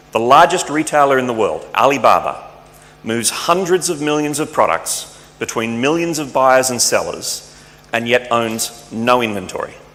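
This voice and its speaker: Over noticeable background noise and audible room echo, a man with an Australian accent talks at a moderate pace, fairly high in pitch with ordinary pitch variation. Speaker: tech company speaker. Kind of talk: conference talk.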